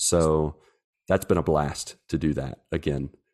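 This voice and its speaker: In an American accent, a man speaks with a dark, mellow tone. The background is quiet, and the sound is dry and close with no echo. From West Virginia, US. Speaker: missionary. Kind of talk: casual interview chat.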